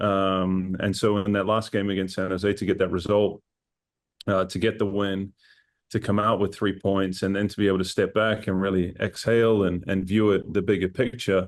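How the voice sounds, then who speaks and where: Against a quiet background, a man with a New Zealand accent talks at a fairly quick pace in a fairly low pitch with monotone, flat intonation. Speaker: assistant football coach. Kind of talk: casual interview.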